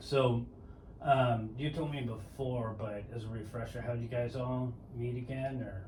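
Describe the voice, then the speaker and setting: Heard with audible room echo and noticeable background noise, the speaker has an American accent, a relaxed tone, fairly even intonation and a fairly slow pace. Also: man, medium pitch for a man. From San Diego, California (Mira Mesa). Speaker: podcast host. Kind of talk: casual chat. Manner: relaxed, with filler words.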